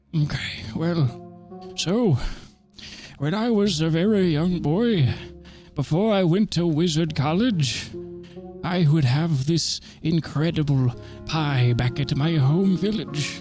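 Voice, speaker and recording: A man uses a put-on character voice, fairly high in pitch, at a fairly slow pace with long, frequent pauses. Music plays clearly in the background. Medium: actual play. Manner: pompous, rambling, forgetful.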